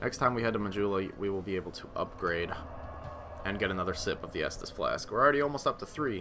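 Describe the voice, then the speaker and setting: Music plays behind a man who talks very fast. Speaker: gaming video host. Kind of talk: let's play commentary. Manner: animated.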